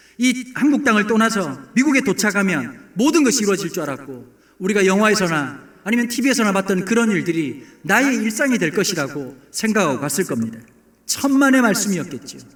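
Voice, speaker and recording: A man talks at a fairly quick pace with hardly any pauses and a high pitch. His voice makes very wide pitch swings, with audible room echo. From South Korea, Busan. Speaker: pastor. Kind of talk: sermon. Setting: church, early morning service.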